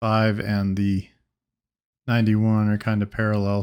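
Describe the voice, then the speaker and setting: A soft-spoken man talks at a moderate pace in a flat monotone. The recording is very clean, with a silent background. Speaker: gaming video creator. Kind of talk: casual gameplay commentary. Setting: home studio. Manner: soft-spoken, talking low.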